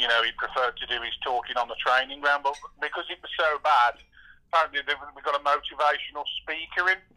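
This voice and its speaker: This man has a fairly high pitch and a bright, sharp tone. His intonation stays fairly even, and the sound is dry and close with no echo. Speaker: football fan guest.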